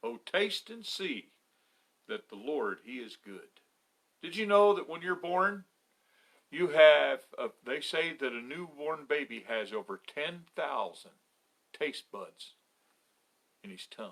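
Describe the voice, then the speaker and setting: A man with a fairly high pitch and vocal fry talks at a very slow pace, his pitch swinging very widely between long, frequent pauses. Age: 60s. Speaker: pastor. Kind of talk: children's story talk.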